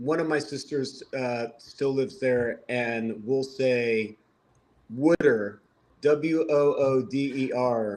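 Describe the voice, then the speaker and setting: A man at a very slow pace, medium in pitch, with ordinary pitch variation and a slight Delco accent. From Lansdowne, Delaware County, Pennsylvania. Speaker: vegan activist, military veteran, medic. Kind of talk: casual chat.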